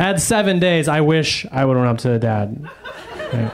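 A man's lively intonation at a moderate pace, with noticeable background noise. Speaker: stand-up comedian. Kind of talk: stand-up comedy. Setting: stage with audience.

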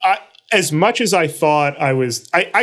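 With an American accent, a man talks at a fairly slow pace in a fairly high pitch, his intonation lively, an ordinary speaking voice. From New York City (Brooklyn). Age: 40s. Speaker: journalist. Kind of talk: interview.

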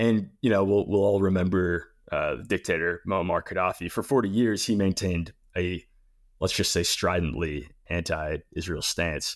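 A man's very deep, low voice holds very even loudness and ordinary pitch variation at a moderate pace, on a very clean recording with a silent background. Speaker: podcast host. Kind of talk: casual news rundown chat. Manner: conversational, joking.

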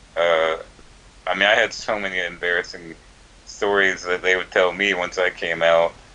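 Noticeable background noise sits under a man with an American accent who speaks at a moderate pace in a very deep, low pitch with monotone, flat intonation. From US South, Georgia. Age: 20s. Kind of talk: casual chat.

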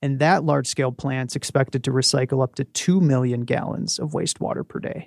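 Speaking at a fairly quick pace with hardly any pauses, a man has an unremarkable speaking voice. His pitch is medium and his intonation fairly even. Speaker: radio reporter. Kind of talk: interview.

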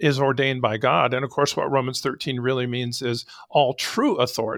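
Recorded very cleanly against a silent background, a man with a normal speaking voice and an American accent talks at a moderate pace in a fairly high pitch. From Arizona. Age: 60s. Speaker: sheriff. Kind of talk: interview conversation.

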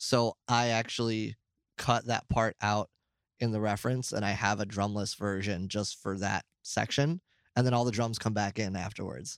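A man with an American accent and an unremarkable speaking voice talks at a moderate pace, his pitch fairly low and his intonation fairly even. The sound is dry and close with no echo, and the recording is very clean with a silent background. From New York. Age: 30s. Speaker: metal drummer. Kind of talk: interview. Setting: on tour, before a show.

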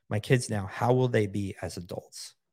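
Very clean recording with a silent background, featuring a man's plain, everyday voice, fairly low in pitch, with fairly even intonation at a moderate pace. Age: 50s. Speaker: entrepreneur. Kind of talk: casual chat.

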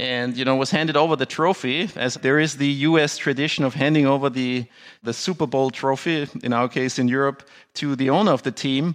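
A fairly high-pitched man with a German accent, fairly quick in pace, with fairly even intonation. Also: quiet background. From Austria. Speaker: business attorney and sports franchise owner. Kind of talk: interview.

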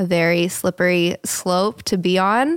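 A woman with a normal speaking voice and an American accent speaks at a medium pitch with fairly even intonation, in a dry, close sound with no echo. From US, Colorado Springs. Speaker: creative director. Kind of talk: casual chat.

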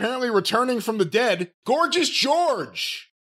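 A man speaks at an extremely high pitch. His intonation is lively. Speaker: podcast co-host. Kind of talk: casual chat.

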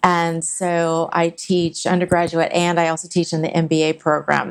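In an ordinary speaking voice with an American accent, a woman of fairly low pitch talks at a moderate pace on a very clean recording with a silent background. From California. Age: 50s. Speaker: martial arts instructor. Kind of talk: casual chat.

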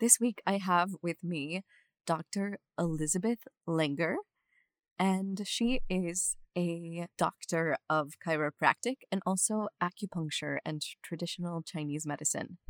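On a very clean recording with a silent background and a dry, close sound with no echo, a woman with an unremarkable speaking voice and an American accent talks at a fairly slow pace, with a fairly low pitch and ordinary pitch variation. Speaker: podcast host. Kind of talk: casual interview chat.

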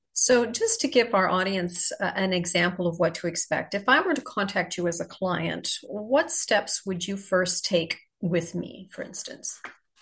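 A woman with an unremarkable speaking voice, medium pitch, ordinary pitch variation, a moderate pace and hardly any pauses. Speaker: podcast co-host. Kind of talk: casual interview chat.

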